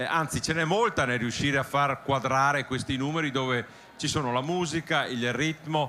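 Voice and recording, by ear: The voice has a bright, sharp tone, ordinary pitch variation, and a moderate pace. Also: man, medium pitch for a man.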